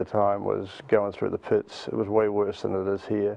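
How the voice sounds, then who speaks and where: A man talks at a fairly quick clip. He has a New Zealand accent. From New Zealand, Auckland. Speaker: nonprofit youth mentoring leader. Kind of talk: interview.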